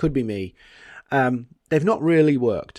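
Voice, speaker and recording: A fairly high-pitched man with a British accent at a moderate pace, on a very clean recording with a silent background. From Britain. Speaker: podcast host, marketing and LinkedIn consultant. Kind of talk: solo podcast monologue. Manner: casual, conversational.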